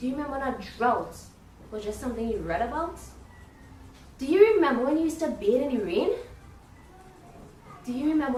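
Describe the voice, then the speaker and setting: Over music in the background and audible room echo, a woman with a high pitch talks at a fairly quick pace, with very wide pitch swings, big swings in loudness, and long, frequent pauses. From Trinidad and Tobago. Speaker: spoken word poet. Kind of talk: spoken word poetry. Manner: rhythmic.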